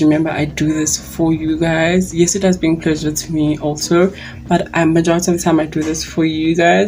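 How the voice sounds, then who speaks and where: The woman's pitch is very deep and low, her intonation monotone and flat. She speaks at a moderate pace over noticeable background noise. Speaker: beauty YouTuber. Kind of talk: makeup review tutorial. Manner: loud; chatty.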